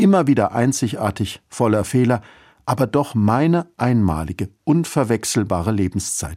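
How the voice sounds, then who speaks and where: The recording is very clean, with a silent background. A man speaks at a moderate pace in a dark, mellow tone with lively intonation. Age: 50s. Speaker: church radio speaker. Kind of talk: scripted radio devotional.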